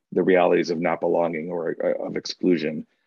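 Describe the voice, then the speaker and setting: A man with a Chicago accent, talking at a very fast pace. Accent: Chicago American English. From US Midwest, north side of Chicago. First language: Spanish. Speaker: diversity and inclusion consultant. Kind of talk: webinar talk. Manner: many filler words and hesitations.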